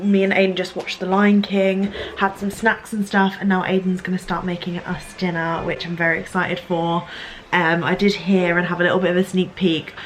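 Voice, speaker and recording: A woman's medium-pitched voice at a fairly quick pace, with noticeable background noise. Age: 20s. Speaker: vlogger. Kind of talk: casual vlog chat. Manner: animated.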